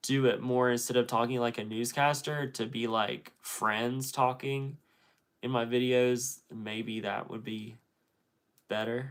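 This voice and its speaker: At a fairly slow pace, a man speaks at medium pitch in a monotone, flat intonation. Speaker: YouTuber doing a livestream. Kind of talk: casual livestream chat reading comments. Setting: solo livestream. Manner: sounds like a newscaster.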